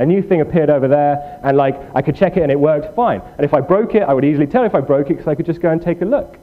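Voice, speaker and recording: A man with fairly high pitch, very even loudness and a very fast pace, ordinary pitch variation, and noticeable background noise. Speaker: programming workshop instructor. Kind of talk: tutorial. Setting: room with live audience. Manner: halting.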